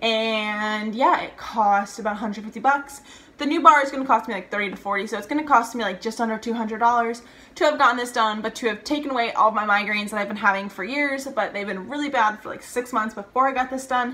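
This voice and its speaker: A woman with an American accent, fairly high pitch, ordinary pitch variation and a very fast pace, amid noticeable background noise. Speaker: vlogger. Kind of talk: casual vlog talk to camera.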